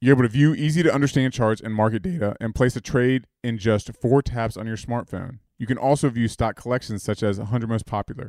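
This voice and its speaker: A man talks at a fairly quick pace with hardly any pauses, in an ordinary speaking voice of medium pitch. His pitch varies in an ordinary way, and the sound is dry and close with no echo. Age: 30s. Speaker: podcast co-host. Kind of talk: casual chat.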